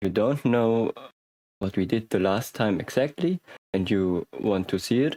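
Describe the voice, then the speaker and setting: A man speaks at a fairly slow pace with a dark, mellow tone and ordinary pitch variation, in a very clean recording with a silent background and a dry, close sound with no echo. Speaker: programming tutor. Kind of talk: tutorial. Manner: hesitant, many fillers.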